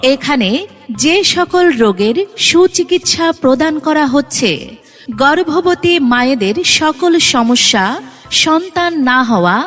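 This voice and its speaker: A high-pitched woman's voice with very wide pitch swings and very even loudness, over music in the background. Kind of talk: loudspeaker advertisement read.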